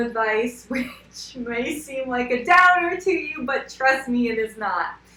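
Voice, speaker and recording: Against noticeable background noise, a woman talks fairly slowly in a high pitch. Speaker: skincare and wellness coach. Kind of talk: casual talk to camera. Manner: filler-heavy, repetitive.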